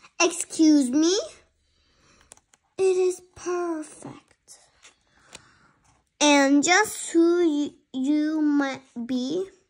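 A woman adopts a put-on character voice pitched high. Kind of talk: read-aloud storytime with character voices. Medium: read story. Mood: cheerful, cocky.

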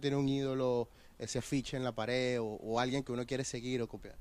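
Talking at a very fast pace, a man comes through dry, with no echo. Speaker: sports interviewer. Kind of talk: interview questions. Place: stadium. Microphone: handheld.

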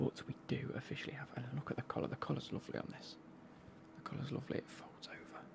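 Someone whispers softly at a very fast pace over noticeable background noise. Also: man. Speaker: football kit reviewer. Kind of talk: casual vlog chat. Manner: soft close-mic whisper. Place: home room. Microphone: studio mic.

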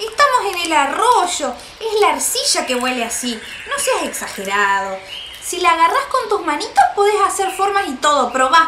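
With faint background noise, a woman performs a put-on character voice at extremely high pitch, bright and sharp in tone, with big pitch swings at a moderate pace.

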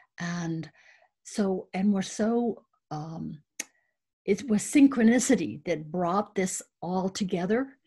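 Somewhat breathy woman's speech, very slow with long, frequent pauses and lively intonation, over a quiet background. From South Dakota, US. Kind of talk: panel presentation. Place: home room. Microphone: webcam.

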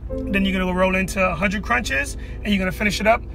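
A man's voice sounds dry with no echo, while clear music plays in the background. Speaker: former drill instructor. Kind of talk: casual vlog challenge talk. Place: car. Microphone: phone near.

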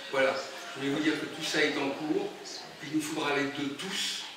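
With strong room echo and noticeable background noise, a man speaks at a moderate pace in a monotone, flat intonation. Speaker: speaker. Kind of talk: informal presentation to audience. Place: hall. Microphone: camera far.

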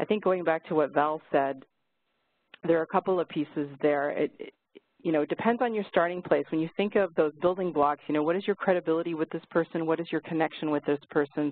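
In a normal speaking voice, a woman talks at a fairly low pitch with ordinary pitch variation. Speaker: Q&A facilitator. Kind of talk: live webinar Q&A. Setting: online webinar.

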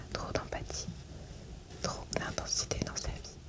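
A soft-spoken whisper at a very slow pace, over loud background noise. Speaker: reader. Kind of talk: reading aloud from a self-help book. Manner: soft whispered reading.

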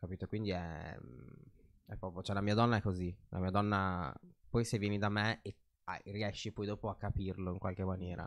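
Over a quiet background, a man speaks at a moderate pace with fairly low pitch, monotone, flat intonation and long, frequent pauses. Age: young. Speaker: fashion designer; podcast guest. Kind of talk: casual chat. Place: studio. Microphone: studio mic.

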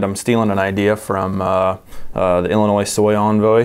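With an American accent, a man talks at a moderate pace in a fairly low pitch, his intonation fairly even. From US Midwest. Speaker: seed company podcast host. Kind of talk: casual chat. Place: studio. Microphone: lapel.

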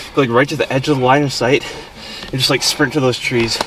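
The speaker goes at a very fast pace with fairly even intonation, in a dry sound with no echo and noticeable background noise. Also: man. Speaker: urban explorer vlogger. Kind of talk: casual vlog chat. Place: car. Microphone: phone near.

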